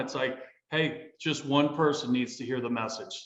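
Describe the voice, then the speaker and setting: A fairly slow delivery in an American accent, with audible room echo. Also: man. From US Midwest (northwestern Indiana, Columbus, Ohio). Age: 50s. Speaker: army veteran and real estate businessman. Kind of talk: casual interview. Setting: studio.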